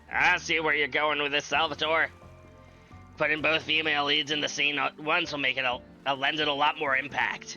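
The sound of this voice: Over music in the background, a man does a put-on character voice that is raspy and fairly high in pitch. He delivers it in a monotone, flat intonation at a fairly quick pace.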